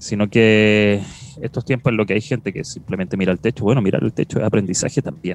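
Speaking very fast, a man with a Chilean accent uses a fairly low pitch and ordinary pitch variation. The sound is dry and close, with no echo. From southern rural Chile. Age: 30s. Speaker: podcast host. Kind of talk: casual chat.

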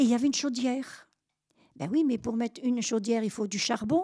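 A woman's fairly high voice with a dark, mellow tone, ordinary pitch variation, a moderate pace, and a dry, close sound free of echo. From France, Normandy (Caen). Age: 80s+. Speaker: war witness. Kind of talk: testimony. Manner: halting.

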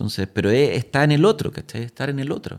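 A man speaks with a Chilean accent and lively intonation. His voice sits fairly high and has vocal fry. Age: 40s. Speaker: actor. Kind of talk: casual chat.

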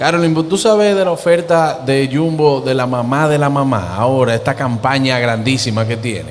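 With music in the background, a man speaks in an animated tone at medium pitch, with lively intonation and hardly any pauses. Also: moderate pace. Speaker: TV and radio show host. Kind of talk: live broadcast giveaway with phone calls.

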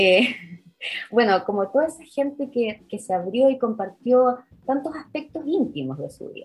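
Speaking at a moderate pace, a woman's high voice moves through very wide pitch swings. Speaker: historian. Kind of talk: interview.

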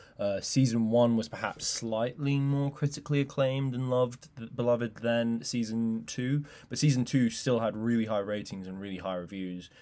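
This man speaks with an English accent and a dark, mellow tone. His pitch varies in an ordinary way, and he hardly pauses. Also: medium pitch for a man, moderate pace, very clean recording, silent background. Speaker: film news podcast co-host. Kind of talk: casual news discussion podcast.

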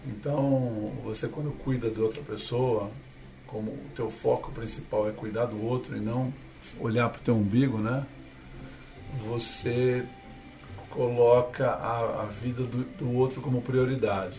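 With audible room echo and noticeable background noise, a man of medium pitch speaks with fairly even intonation and long, frequent pauses. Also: fairly slow pace. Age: 60s. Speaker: sailor and speaker. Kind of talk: interview.

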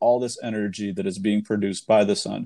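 A man speaks at a moderate pace with an American accent, his tone dark and mellow. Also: quiet background. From Arizona. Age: 30s. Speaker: solar industry salesperson. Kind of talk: podcast interview.

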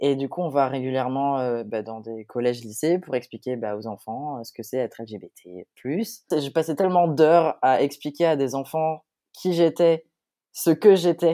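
Recorded very cleanly with a silent background and a dry, close sound without echo, a man speaks in a fairly high pitch with a dark, mellow tone and big swings in loudness. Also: lively intonation, fairly slow pace. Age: 20s. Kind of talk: testimony.

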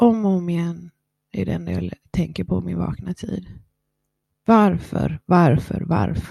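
A woman speaks at a very slow pace with a very deep, low pitch and very wide pitch swings. Her tone is dark and mellow, with vocal fry. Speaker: podcast host. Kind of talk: personal monologue. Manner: eating while talking.

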